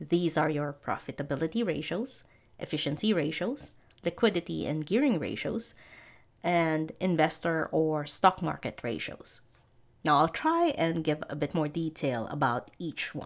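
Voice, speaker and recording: In a very clean recording with a silent background, a woman talks at a fairly slow pace in a very deep, low pitch with ordinary pitch variation. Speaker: accounting tutor and podcast host. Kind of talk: educational podcast lecture.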